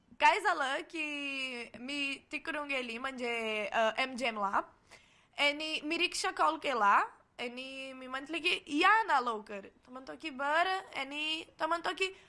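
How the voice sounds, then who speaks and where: With a Portuguese accent, a woman speaks in a raised, projected voice that is high in pitch, with lively intonation and big swings in loudness. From Brazil. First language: Portuguese (speaking Marathi). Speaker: cultural exchange student. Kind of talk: casual interview. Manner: halting.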